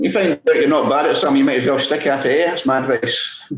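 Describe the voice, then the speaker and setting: A man's voice with a Scottish accent. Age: 60s. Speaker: podiatrist and masters sprinter. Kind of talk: casual interview.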